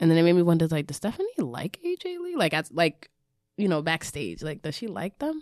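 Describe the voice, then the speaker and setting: A woman's fairly low voice at a fairly quick pace, with a dry, close sound and no echo. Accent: New York. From the Bronx, New York. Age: 30s. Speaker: wrestling podcast host. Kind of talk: casual chat.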